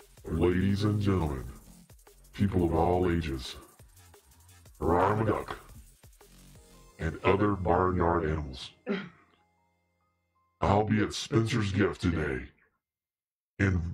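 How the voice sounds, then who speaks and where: A put-on character voice that speaks with long, frequent pauses. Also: man. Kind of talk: announcer-style promotional.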